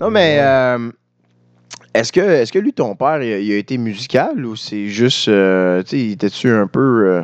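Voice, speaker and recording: Delivered at a fairly slow pace with lively intonation, a normal speaking voice comes across in a dry, close sound with no echo. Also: man, medium pitch for a man. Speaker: podcast co-host, musician. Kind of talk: casual chat.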